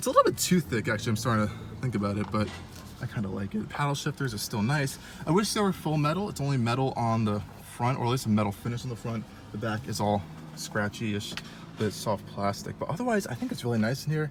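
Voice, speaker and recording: A man speaks at a very fast pace in a medium pitch with lively intonation, and there is noticeable background noise. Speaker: car reviewer. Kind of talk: casual walkaround car review. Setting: at a car dealership. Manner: casual with many fillers.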